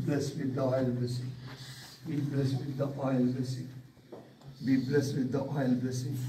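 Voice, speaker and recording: Light background noise and audible room echo around a man at a moderate pace, his intonation flat and monotone, with long, frequent pauses. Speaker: pastor. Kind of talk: fervent prayer. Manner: intense; repetitive. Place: hall. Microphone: phone near.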